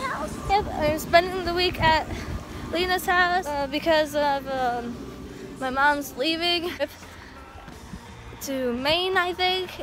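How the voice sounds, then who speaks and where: With faint music behind her and a dry sound with no echo, a woman with a high pitch and ordinary pitch variation speaks with long, frequent pauses. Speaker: vlogger. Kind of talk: casual vlog chat. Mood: relaxed, giggly. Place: street. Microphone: phone near.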